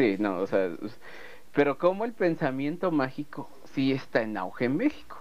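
Speaking in a Mexican accent at a moderate pace, a man with a fairly high pitch makes very wide pitch swings and takes long, frequent pauses. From Mexico. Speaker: writer and video producer. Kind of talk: casual chat.

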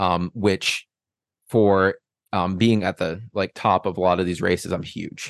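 A man speaks at a fairly slow pace in a very deep, low voice with flat, monotone intonation. The background is quiet, and the sound is dry and close with no echo. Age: 20s. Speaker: ultrarunner. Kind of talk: casual chat. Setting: studio.

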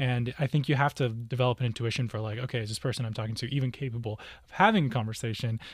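Speaking at a very fast pace, a man keeps his intonation fairly even. His voice is somewhat breathy and sits at a medium pitch. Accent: American. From US. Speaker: co-host. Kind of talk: casual chat.

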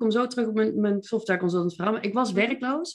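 With a Brabant accent, a woman talks at a moderate pace with ordinary pitch variation. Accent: southern Dutch (Brabant). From North Brabant, Netherlands (Veldhoven). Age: 40s. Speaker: mindset coach and entrepreneur. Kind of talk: podcast interview.

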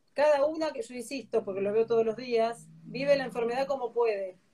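The dark, mellow tone moves at a moderate pace with ordinary pitch variation. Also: woman. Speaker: breast imaging physician. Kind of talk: interview.

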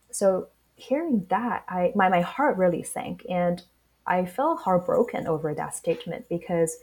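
A woman of medium pitch with a Chinese accent, at a fairly slow pace. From Shanghai, China. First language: Mandarin Chinese. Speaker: startup founder. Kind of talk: interview.

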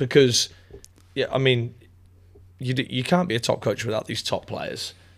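A man with an East Midlands accent speaks at medium pitch with ordinary pitch variation. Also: moderate pace. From England, Northamptonshire. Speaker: college soccer coach. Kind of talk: casual interview.

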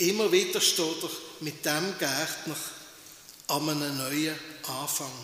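Delivery is very slow, with long, frequent pauses and fairly even intonation in a warm tone. Noticeable background noise can be heard. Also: man, fairly high pitch for a man. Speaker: pastor. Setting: church. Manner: unhurried, warm, reflective with pauses, ending in encouragement.

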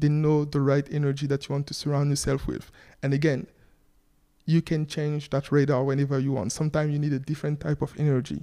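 A man speaks very fast in a fairly high pitch with a dark, mellow tone. His intonation stays monotone and flat on a very clean recording with a silent background. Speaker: entrepreneur. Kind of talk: casual interview.

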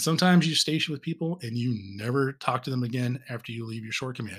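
In a very clean recording with a silent background, a man with an American accent speaks at a medium pitch and fairly quick pace, his tone bright and sharp with ordinary pitch variation. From Southern California. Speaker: podcast host, navy veteran. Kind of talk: unscripted tribute monologue.

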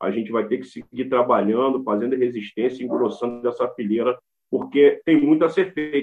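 Speaking at a moderate pace, a man has medium pitch, ordinary pitch variation and a plain, everyday voice. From Brazil, Rio de Janeiro state and Brasília. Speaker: rapper and cultural activist. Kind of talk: interview.

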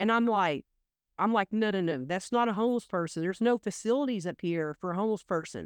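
A woman's medium-pitched voice with an American accent at a very fast pace, dry and close with no echo, over a quiet background. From Oklahoma. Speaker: energy investment expert. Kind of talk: casual interview.

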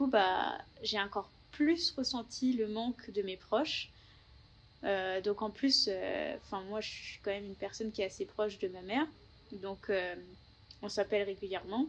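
A woman speaks at a moderate pace and a medium pitch, with ordinary pitch variation. Her loudness swings a lot, and she leaves long, frequent pauses. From Paris region, France. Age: 20s. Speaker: working holiday traveller, engineering graduate. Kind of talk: interview testimony. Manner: hesitant, many fillers.

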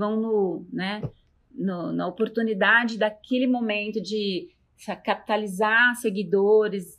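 A woman with an unremarkable speaking voice talks fairly slowly at a fairly high pitch, her intonation fairly even. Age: 50s. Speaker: university professor. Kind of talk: interview.

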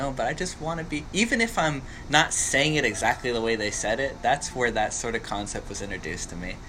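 Against noticeable background noise, a man speaks very fast in a fairly high voice. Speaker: podcast host. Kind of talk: casual conversational interview. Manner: relaxed, conversational.

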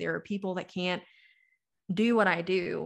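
A fairly low-pitched woman with an American accent, vocal fry, a bright, sharp tone and monotone, flat intonation at a fairly quick pace over a quiet background. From US South. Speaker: financial influencer and marketing agency owner. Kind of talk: casual interview chat.

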